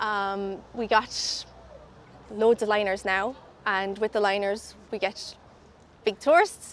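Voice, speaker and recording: Speaking very slowly with long, frequent pauses, a woman with an Irish accent keeps a medium pitch and fairly even intonation. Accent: Irish brogue. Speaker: tour ambassador. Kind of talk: casual interview.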